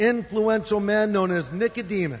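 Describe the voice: Reading aloud, plainly done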